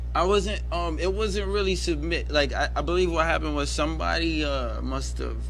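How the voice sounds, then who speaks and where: A man with an American accent at a very deep, low pitch, talking at a fairly quick pace with hardly any pauses, over noticeable background noise. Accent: New York with Jamaican Caribbean touches. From New York, Bronx; Jamaican family. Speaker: rapper. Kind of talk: casual interview chat. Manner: animated.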